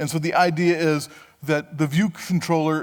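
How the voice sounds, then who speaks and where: In an ordinary speaking voice, a man talks at a moderate pace and a fairly high pitch. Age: 60s. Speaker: conference speaker. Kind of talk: tech conference talk. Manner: conversational, with fillers.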